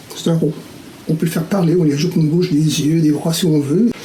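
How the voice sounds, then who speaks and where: The recording has audible room echo. Noticeable background noise is present too. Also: man. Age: 60s. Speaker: caricaturist. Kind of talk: tutorial. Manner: hesitant with fillers.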